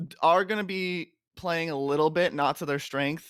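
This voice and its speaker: Here is a man's voice on a very clean recording with a silent background. The sound is dry and close, with no echo. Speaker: amateur esports caster. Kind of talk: live game commentary. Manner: fast.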